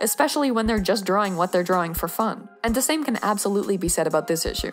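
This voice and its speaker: A woman at a very fast pace, lively intonation, music playing behind her. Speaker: artist commentator. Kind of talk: commentary. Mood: earnest, slightly exasperated.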